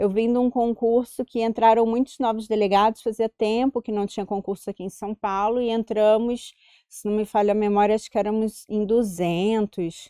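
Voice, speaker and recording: In a Carioca accent, a woman with a fairly high pitch and a dark, mellow tone speaks at a moderate pace with hardly any pauses and monotone, flat intonation, the sound dry and close with no echo. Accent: Carioca (Rio de Janeiro). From Rio de Janeiro, Brazil. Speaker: police chief and union president. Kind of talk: interview.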